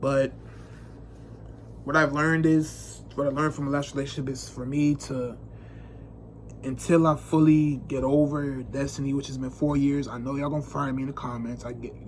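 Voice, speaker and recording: This man's voice is somewhat breathy and fairly high in pitch, with monotone, flat intonation and long, frequent pauses. Audible room echo surrounds him. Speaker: vlogger. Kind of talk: casual monologue to camera. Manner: fast; unscripted, halting.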